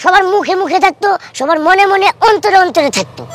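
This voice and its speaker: An extremely high-pitched put-on character voice speaks at a moderate pace. Faint music sits in the background. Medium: comedy sketch. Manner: rustic, persuasive.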